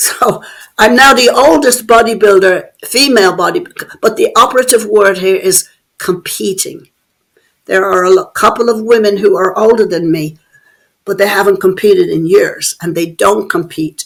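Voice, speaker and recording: A woman with a fairly high voice speaks in an Irish accent. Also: ordinary pitch variation, moderate pace. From Ireland (Dublin). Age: 70s. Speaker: bodybuilder. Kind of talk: interview.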